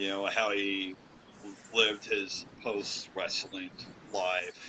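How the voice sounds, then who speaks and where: A man speaks very slowly in a fairly low pitch, with noticeable background noise present. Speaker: professional wrestler. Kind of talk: interview. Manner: halting, many fillers.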